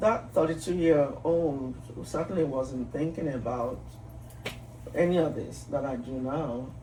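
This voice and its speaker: A woman with a very deep, low pitch talks at a fairly slow pace amid noticeable background noise and audible room echo. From Nigeria. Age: 60s. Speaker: psychiatrist and physician. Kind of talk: interview conversation.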